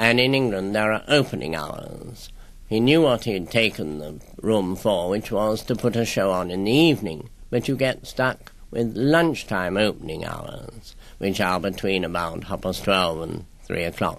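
With a plain, everyday voice, a man talks at a moderate pace in a fairly low pitch, using lively intonation. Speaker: guest. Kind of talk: interview answer. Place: studio.

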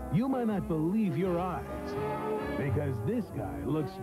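A man speaks at a fairly slow pace with music playing in the background. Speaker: announcer. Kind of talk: TV promo announcer read.

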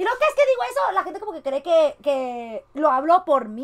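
A woman speaks in an animated tone with a high pitch, at a fairly slow pace, over a quiet background. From Mexico. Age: 20s. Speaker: streamer. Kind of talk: reaction commentary. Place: home room.

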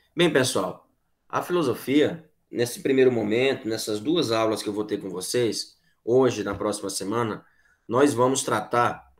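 In a quiet setting, a man speaks at a fairly slow pace with ordinary pitch variation. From Piauí, Brazil (Corrente); Piauí, Brazil. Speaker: philosophy teacher; teacher. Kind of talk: online class lecture. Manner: conversational, repetitive filler tags. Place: home room. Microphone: webcam.

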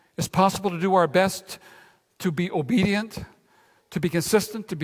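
A man speaks at a moderate pace with a high pitch.

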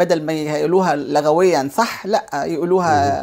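A woman with an Egyptian accent over a quiet background. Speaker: businesswoman and cultural center head; guest. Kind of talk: TV interview. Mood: warm, earnest. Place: studio.

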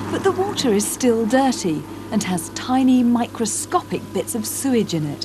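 A woman with a British accent speaks at a moderate pace in a fairly high pitch, her voice swinging very widely in pitch over noticeable background noise. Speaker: TV presenter. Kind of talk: scripted narration. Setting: outdoors.

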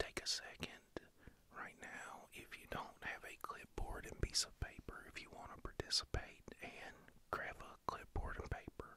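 A man whispers at a fairly slow pace. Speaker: ASMR creator. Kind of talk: ASMR personal attention, guided stress relief. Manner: soft-spoken, soothing, calm. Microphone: studio mic.

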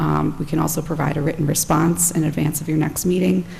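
Against noticeable background noise, a woman speaks at a very deep, low pitch with very wide pitch swings. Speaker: attorney for applicant. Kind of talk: formal presentation at public meeting. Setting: town planning board meeting. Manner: formal.

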